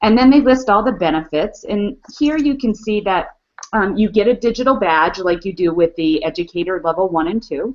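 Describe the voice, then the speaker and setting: With lively intonation and a plain, everyday voice, a woman speaks at a moderate pace. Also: medium pitch for a woman. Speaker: educational technology trainer, webinar co-host. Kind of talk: online webinar walkthrough.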